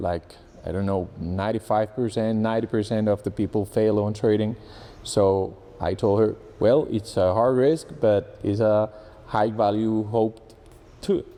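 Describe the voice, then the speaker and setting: A man with a Spanish accent, a fairly low pitch and a dark, mellow tone, at a fairly slow pace with fairly even intonation. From Colombia. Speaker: engineer and trading student. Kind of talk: testimonial interview. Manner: halting with repetitions.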